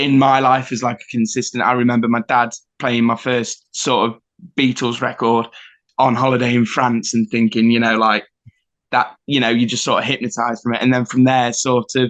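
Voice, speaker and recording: A man speaks at medium pitch with an East Midlands accent. His intonation is monotone and flat. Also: moderate pace. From England, Nottingham. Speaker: rock band rhythm guitarist. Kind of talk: casual interview chat. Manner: hesitant, many fillers.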